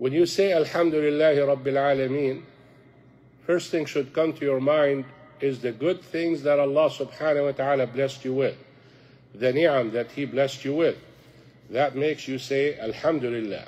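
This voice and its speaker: A man's voice, fairly high-pitched, with fairly even intonation. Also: moderate pace. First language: Arabic. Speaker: imam teaching a youth class. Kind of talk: religious lecture. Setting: mosque class with audience.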